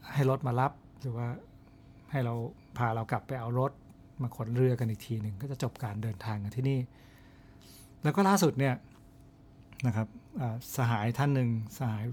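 On a very clean recording with a silent background, a man talks in a somewhat breathy, medium-pitched voice with ordinary pitch variation. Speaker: podcast host, outdoor travel storyteller. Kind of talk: storytelling monologue.

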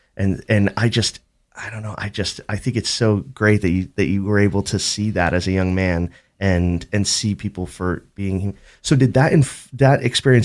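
A man speaks at a moderate pace in an ordinary speaking voice, fairly low in pitch with ordinary pitch variation. The recording is very clean with a silent background. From Boston. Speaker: radio co-host. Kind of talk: talk radio.

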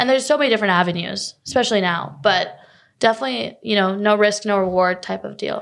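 A woman's very fast speech in a North Carolina accent, medium in pitch with lively intonation, on a very clean recording with a silent background. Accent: American, North Carolina. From North Carolina, Raleigh area. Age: 20s. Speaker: college tennis player. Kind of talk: interview.

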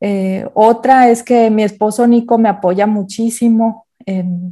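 A woman's dark, mellow tone at a medium pitch, fairly even in intonation, over a quiet background. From Mexico, Guadalajara area. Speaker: photographer. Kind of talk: interview.

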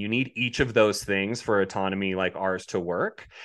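A man with an American accent speaks in a normal speaking voice, his pitch fairly low. He talks at a moderate pace against a quiet background. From Colorado. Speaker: robotics company representative. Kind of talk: interview.

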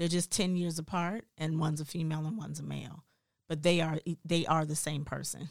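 A woman speaks at a fairly quick pace. Her very deep, low voice keeps a monotone, flat intonation. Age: 40s. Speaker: podcast co-host. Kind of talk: casual chat.

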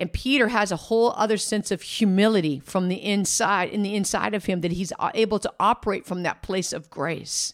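An unremarkable speaking voice from a woman, medium in pitch with ordinary pitch variation, at a fairly quick pace with hardly any pauses, on a very clean recording with a silent background. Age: 50s. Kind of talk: faith podcast monologue, personal testimony.

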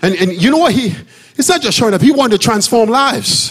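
A man at a fairly quick pace, with very wide pitch swings, audible room echo and noticeable background noise. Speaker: pastor. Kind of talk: sermon. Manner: loud; animated.

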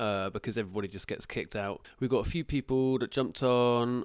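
The speaker has a British accent. The recording is very clean, with a silent background. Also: man. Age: 30s. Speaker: podcast co-host. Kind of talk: casual chat. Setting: Instagram live.

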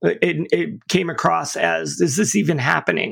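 A man with an American accent. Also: very clean recording, silent background. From upstate New York. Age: 50s. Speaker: pastor and recovery advocate. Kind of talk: testimony. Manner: casual, halting with repeated words.

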